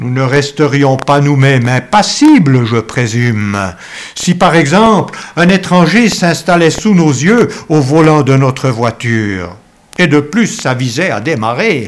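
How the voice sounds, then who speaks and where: The pace is very slow. Pitch swings very widely throughout. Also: man, fairly high pitch for a man. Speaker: preacher. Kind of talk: sermon. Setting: church. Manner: formal; earnest, measured pulpit delivery.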